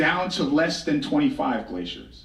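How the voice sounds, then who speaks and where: A man speaks loudly in a high pitch at a moderate pace. Room echo is audible. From Blackfeet Reservation, Montana, Northern Plains. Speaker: author and storyteller, keynote speaker. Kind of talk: keynote speech. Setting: stage with audience.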